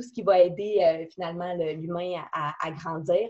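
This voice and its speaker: In a Quebec accent, the voice has a dark, mellow tone and fairly even intonation. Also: woman. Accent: Québécois French. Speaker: company president. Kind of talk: business talk. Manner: halting.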